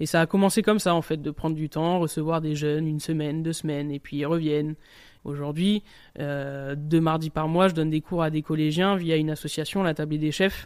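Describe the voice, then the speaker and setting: Over a very clean recording with a silent background, a man speaks at a fairly high pitch in a monotone, flat delivery. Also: fairly quick pace. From southern France, Nice. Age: 30s. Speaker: chef. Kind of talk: interview testimony. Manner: casual, colloquial.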